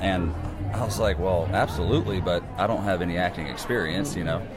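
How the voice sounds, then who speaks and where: A man with a very deep, low pitch and fairly even intonation at a very fast pace, music in the background and audible room echo. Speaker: country singer. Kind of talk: interview. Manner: halting.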